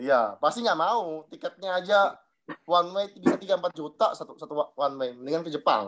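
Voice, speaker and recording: With an eastern Indonesian accent, a man speaks high and fairly quickly with lively intonation. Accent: eastern Indonesian accent, noticeable. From Southeast Maluku, eastern Indonesia (Dobo). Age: 30s. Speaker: insurance agent sharing experience. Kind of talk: personal testimony to a group.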